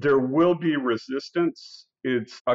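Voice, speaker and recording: A man's fairly even intonation in a Midwestern American accent. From US Midwest, Iowa. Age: 60s. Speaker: company CEO. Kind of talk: interview.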